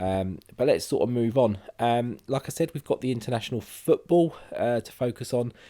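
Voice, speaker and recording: A man with a British accent talks at a moderate pace and medium pitch, his tone dark and mellow, his pitch varying in an ordinary way, with hardly any pauses. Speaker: gaming youtuber. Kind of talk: let's play commentary. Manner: casual with many fillers.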